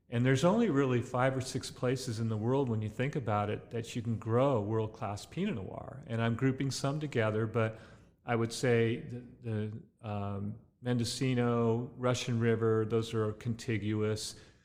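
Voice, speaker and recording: This man has a medium pitch and an American accent. His intonation is fairly even and his pace moderate. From Southern California, Ventura County. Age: 60s. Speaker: winemaker and grape grower. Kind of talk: interview. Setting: tasting room. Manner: relaxed with many fillers.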